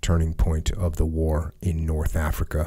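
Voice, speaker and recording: A man talks at a fairly slow pace in a somewhat breathy voice. The background is quiet. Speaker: podcast host. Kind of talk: podcast commentary on a historical text. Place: studio. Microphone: studio mic.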